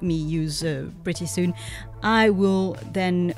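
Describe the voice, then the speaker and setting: The speaker has a French accent and a fairly slow pace. Music plays in the background. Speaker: artist. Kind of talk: casual talk to camera. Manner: hesitant, many fillers.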